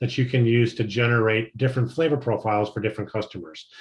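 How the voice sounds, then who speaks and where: Somewhat breathy, a man's voice comes through with a quiet background behind it. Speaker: chocolate maker trainer. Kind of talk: training lecture. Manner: fast.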